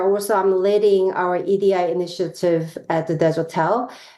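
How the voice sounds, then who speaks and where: Audible room echo surrounds a woman's voice. She talks at a moderate pace, at medium pitch, with ordinary pitch variation. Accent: Korean. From South Korea. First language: Korean. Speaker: professor. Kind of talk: lecture. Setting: video call.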